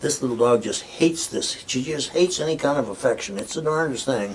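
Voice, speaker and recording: Noticeable background noise behind a man with an American accent, a fairly high pitch and a fairly quick pace. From US Midwest, rural Nebraska. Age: 70s. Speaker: artist. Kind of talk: casual interview. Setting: artist's studio.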